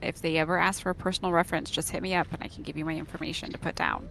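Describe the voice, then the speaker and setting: With an American accent, the speaker goes at a very fast pace with hardly any pauses, over noticeable background noise. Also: woman. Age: 40s. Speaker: gamer streaming a guild raid. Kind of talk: casual chat.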